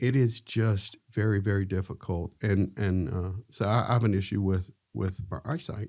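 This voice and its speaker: A man's fairly low, dark, mellow voice at a moderate pace, with ordinary pitch variation, over a quiet background. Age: 60s. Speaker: podcast host. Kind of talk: podcast interview.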